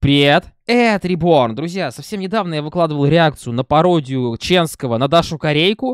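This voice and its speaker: A man's moderately paced speech with lively intonation, a dry sound with no echo and a quiet background. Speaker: reaction video host. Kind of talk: casual vlog chat. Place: home room. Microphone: studio mic.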